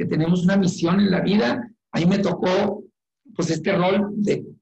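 Speaking at a fairly slow pace, a man with a high pitch is heard amid audible room echo. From Mexico, Chihuahua. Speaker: company executive. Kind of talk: interview.

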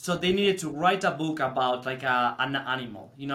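In a Spanish accent, a man with a fairly high, bright and sharp voice talks at a fairly quick pace with ordinary pitch variation. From Spain. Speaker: teacher. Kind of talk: casual chat.

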